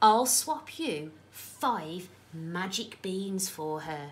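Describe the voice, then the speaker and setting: A woman puts on a croaky character voice at medium pitch, with very wide pitch swings. She talks at a very slow pace. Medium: read story.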